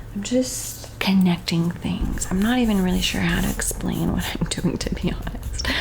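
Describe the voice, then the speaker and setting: Soft-spoken and calm in tone, the voice moves at a moderate pace over noticeable background noise. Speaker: art tutorial teacher, painter. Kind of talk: ASMR art tutorial, soft-spoken guided painting. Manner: soft-spoken, calm.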